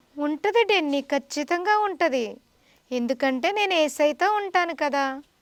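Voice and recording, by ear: This woman has a high pitch and lively intonation. The sound is dry and close with no echo, and her pace is moderate.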